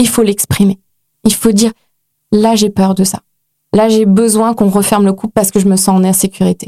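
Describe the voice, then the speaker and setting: A woman speaks at a fairly high pitch and fairly quick pace, her dark, mellow tone monotone and flat, the sound dry and close with no echo. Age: 30s. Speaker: author and life coach. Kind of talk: casual interview chat.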